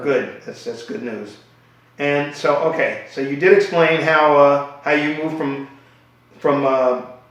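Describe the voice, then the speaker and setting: Over noticeable background noise, a man speaks at a fairly slow pace. His pitch is fairly high. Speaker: interviewer. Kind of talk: interview question.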